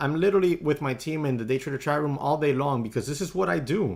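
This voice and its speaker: A man's very fast, fairly high voice in a Spanish accent, with lively intonation, on a very clean recording with a silent background. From US, Spanish-speaking family. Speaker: day trader live streamer. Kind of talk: casual live stream chat. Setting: home live stream. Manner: conversational, reading chat aloud.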